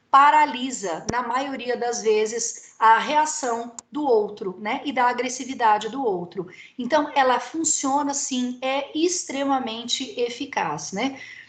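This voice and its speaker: This woman speaks with high pitch and lively intonation, with audible room echo around her. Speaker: lecturer. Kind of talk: lecture. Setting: video call. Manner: animated.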